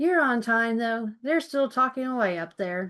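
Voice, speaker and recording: In a put-on character voice with a rural American accent, a woman speaks at a moderate pace and a fairly high pitch with lively intonation. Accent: rural American colloquial. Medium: read story.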